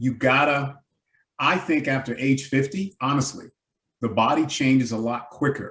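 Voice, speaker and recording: This man keeps a moderate pace and a medium pitch. His intonation shows ordinary pitch variation. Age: 60s. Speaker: community health advocate. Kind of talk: virtual town hall discussion. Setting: video call. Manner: animated.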